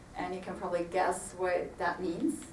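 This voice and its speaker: Medium-pitched female speech at a moderate pace, with audible room echo and noticeable background noise. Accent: Swiss. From Switzerland. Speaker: HR executive. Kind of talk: panel discussion.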